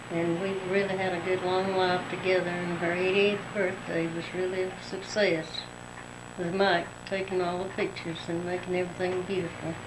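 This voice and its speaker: Amid audible room echo and noticeable background noise, a woman speaks at a moderate pace with monotone, flat intonation. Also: medium pitch for a woman. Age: 60s. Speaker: daughter speaking to her mother. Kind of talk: family tribute on tape.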